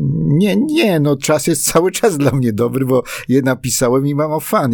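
Lively in intonation, a man speaks at a moderate pace on a very clean recording with a silent background. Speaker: songwriter and playwright. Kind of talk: casual interview. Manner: halting, with repetitions.

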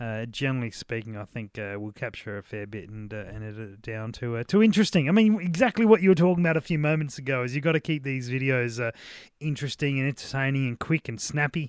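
A man with an Australian accent talks at a very fast pace with hardly any pauses, using a medium pitch and lively intonation. The sound is dry and close with no echo, against a quiet background. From South Australia. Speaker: podcast co-host, beer reviewer. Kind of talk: casual chat.

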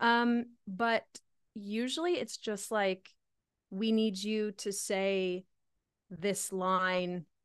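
A woman speaks very slowly in a Canadian accent, her pitch medium and her intonation fairly even. She leaves long, frequent pauses against a quiet background. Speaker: singer-songwriter. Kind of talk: casual chat. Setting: home studio.

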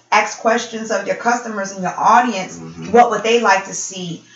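A woman speaks with an American accent in a fairly high voice with ordinary pitch variation. Noticeable background noise and audible room echo fill the recording. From Buffalo, New York. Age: 40s. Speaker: radio show host and perfume entrepreneur. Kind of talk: casual interview.

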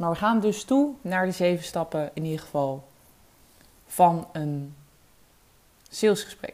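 A woman is speaking. Her pace is fairly slow. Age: 20s. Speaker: sales coach. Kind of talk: solo podcast tutorial. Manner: hesitant, many filler words.

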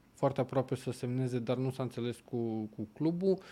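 This man's voice has a dark, mellow tone and a medium pitch. He talks at a moderate pace. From southern Romania. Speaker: football pundit. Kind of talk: casual chat.

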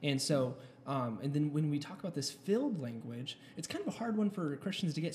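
Talking at a fairly quick pace, a man has an unremarkable speaking voice, fairly high in pitch with ordinary pitch variation. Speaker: co-host. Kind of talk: casual podcast chat.

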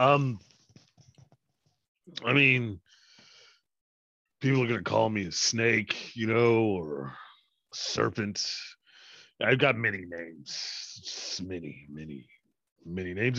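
In a put-on character voice, a man speaks very slowly with a resonant, medium-pitched sound against a quiet background. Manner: smooth, sly.

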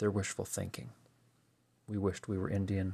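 Fairly low-pitched, somewhat breathy male voice. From US, Pennsylvania. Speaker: podcast host. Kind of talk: solo monologue reflection.

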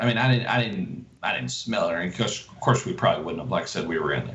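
Speech comes at a very fast pace through audible room echo and noticeable background noise. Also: man. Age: 50s. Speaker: hunter. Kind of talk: casual chat.

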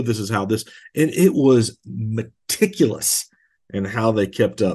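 Over a quiet background, a man speaks with a Southern US accent and ordinary pitch variation. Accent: Southern US (Georgia). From US South, rural Georgia. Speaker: pastor. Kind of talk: podcast teaching monologue. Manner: casual, conversational with fillers.

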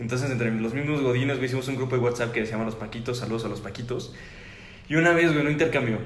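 Amid noticeable background noise and audible room echo, a man with a Querétaro accent speaks at a very fast pace and medium pitch with fairly even intonation. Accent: Querétaro Mexican Spanish. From Mexico, Querétaro. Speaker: podcast host. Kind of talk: casual chat.

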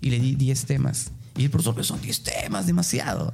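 Background music and audible room echo around a man talking at a moderate speed. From Peruvian provinces. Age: 30s. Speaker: tourism lecturer. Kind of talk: interview.

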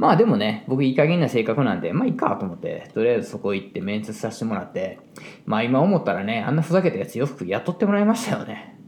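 A man with a medium-pitched voice talks at a very fast clip, his pitch swinging very widely over noticeable background noise. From Japan, Osaka (Kansai). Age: 40s. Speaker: hairdresser and salon owner. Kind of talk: casual solo monologue.

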